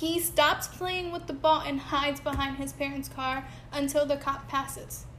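A woman's high-pitched voice in an American accent, with monotone, flat intonation and audible room echo. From Connecticut, Bridgeport. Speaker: podcast co-host. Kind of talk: casual chat.

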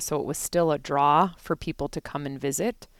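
In a very clean recording with a silent background, a woman with an American accent speaks at a moderate pace in a very deep, low pitch. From Chicago suburbs, Illinois. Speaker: bank market president. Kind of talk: casual chat.

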